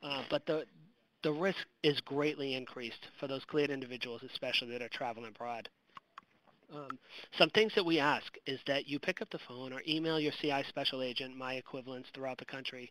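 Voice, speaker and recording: Fairly high-pitched male voice, bright and sharp in tone, at a fairly quick pace with ordinary pitch variation and a dry, close sound with no echo. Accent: Boston. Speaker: counterintelligence special agent presenter. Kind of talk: webinar presentation. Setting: online webinar. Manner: casual, with frequent fillers.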